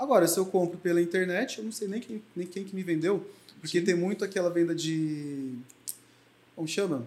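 A man speaks with a high pitch and ordinary pitch variation. His pace is moderate, broken by long, frequent pauses. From Brazil, Mogi das Cruzes (São Paulo). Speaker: beauty entrepreneur and lash extension trainer. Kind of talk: interview.

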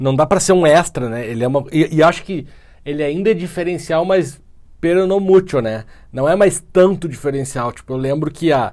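A man has an ordinary speaking voice, pitched fairly high with ordinary variation. He speaks at a moderate pace. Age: 30s. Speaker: podcast co-host. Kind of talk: casual chat.

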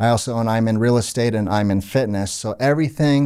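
At a fairly quick pace, a man with an American accent and a medium pitch speaks in a plain, everyday voice. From Orlando, Florida. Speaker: charity event organizer. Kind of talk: casual interview chat.

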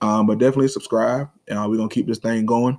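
Talking at a fast pace, a man has a slightly mellow tone and little pitch movement.

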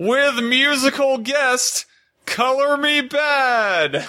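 A man performs a put-on character voice at an extremely high pitch. He speaks very slowly over a very clean recording with a silent background. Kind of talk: announcer voice.

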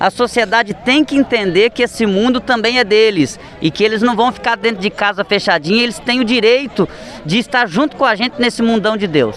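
A high-pitched man talks at a fairly quick pace with very even loudness. His pitch variation is ordinary, and background noise is noticeable. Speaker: radio reporter. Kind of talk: field interview. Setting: outdoors.

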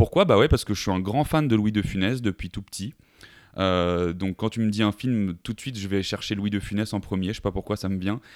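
An ordinary speaking voice from a man, fairly low in pitch and fairly quick, with ordinary pitch variation and a dry, close sound with no echo. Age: 20s. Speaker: sales manager and podcaster. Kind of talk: casual interview. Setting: remote call.

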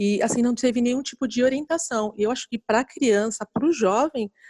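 A woman with a dark, mellow tone speaks at a moderate pace and with lively intonation. The sound is dry and close, with no echo. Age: 40s. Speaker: financial educator. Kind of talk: casual interview. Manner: hesitant, with many fillers.

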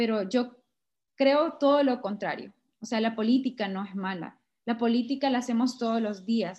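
A woman with a Honduran accent speaks at a fairly high pitch against a quiet background. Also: ordinary pitch variation, moderate pace. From Honduras, Sabana Grande (Francisco Morazán). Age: 20s. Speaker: political candidate. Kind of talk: interview.

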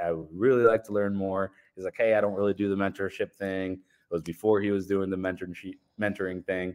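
Fairly low in pitch, a man speaks in a normal speaking voice. His pace is fairly quick, over a quiet background. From Colombia, raised in small-town Ohio from age 7. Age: 30s. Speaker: general contractor and real estate developer. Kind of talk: casual interview.

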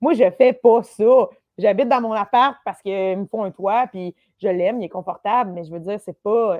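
A woman's ordinary speaking voice at a moderate pace, with ordinary pitch variation. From Quebec, Lanaudière countryside. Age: 30s. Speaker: comedian. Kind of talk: casual chat.

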